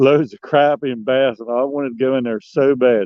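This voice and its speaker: A man with an American accent talks at a medium pitch with fairly even intonation. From Maryland Eastern Shore, Dorchester County. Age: 60s. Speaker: fishing guide and angler. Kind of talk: casual interview. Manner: halting, repeats words.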